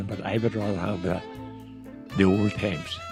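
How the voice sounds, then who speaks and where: Music can be heard behind the voice. Its pitch moves in an ordinary way. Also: man. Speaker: grandfather. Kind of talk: interview answer.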